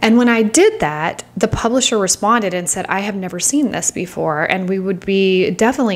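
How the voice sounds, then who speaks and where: With a normal speaking voice, a woman talks fairly quickly at a medium pitch with ordinary pitch variation. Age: 40s. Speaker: author and podcast host. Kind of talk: casual solo podcast talk. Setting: home with background noise. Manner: chatty, upbeat.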